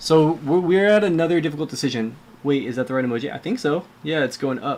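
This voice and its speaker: A man with an American accent at a very fast pace, ordinary pitch variation throughout. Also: fairly high pitch for a man. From California. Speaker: video game streamer. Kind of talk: casual livestream talk while editing clips.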